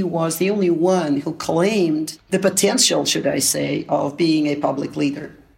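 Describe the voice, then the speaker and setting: A woman with a fairly low pitch speaks at a fairly slow pace, her pitch varying in an ordinary way. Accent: Russian. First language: Russian. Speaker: academic and political analyst. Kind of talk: interview.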